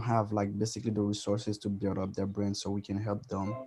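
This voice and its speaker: A quiet man's voice. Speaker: fashion designer. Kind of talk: panel introduction.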